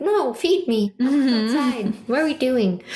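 A female-sounding, high-pitched put-on character voice comes through. It moves at a fairly slow pace. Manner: demanding, whiny.

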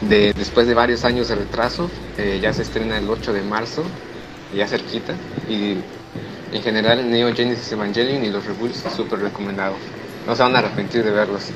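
A fairly low-pitched man with a Mexican accent and fairly even intonation, with long, frequent pauses, audible room echo and noticeable background noise. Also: moderate pace. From Mexico, Huetamo, Michoacán. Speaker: university student. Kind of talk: casual chat. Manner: halting.

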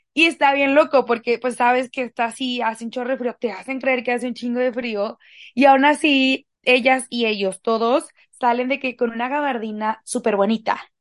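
Against a quiet background, a woman with a Mexican accent speaks at a moderate pace in a high pitch, her intonation fairly even and the sound dry and close with no echo. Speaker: podcast co-host. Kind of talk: casual chat.

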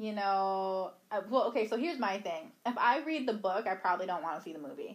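A woman talks in a normal speaking voice at a medium pitch, fairly quickly and with hardly any pauses. Her intonation is lively. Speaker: podcast co-host. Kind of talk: casual chat.

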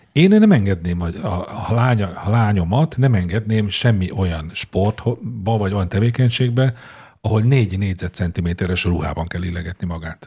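A man's somewhat breathy voice, fairly low in pitch, with a dark, mellow tone. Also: ordinary pitch variation, moderate pace. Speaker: podcast co-host. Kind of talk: casual chat.

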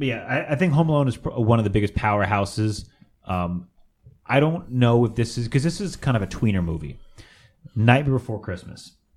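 With an American accent and a normal speaking voice, a man talks at a fairly quick pace, his medium pitch carrying lively intonation. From San Fernando Valley, California. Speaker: podcast co-host. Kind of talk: casual chat.

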